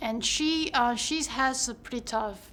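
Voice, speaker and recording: Here a woman speaks with a Chinese accent. Her pace is very slow. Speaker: actor. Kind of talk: interview.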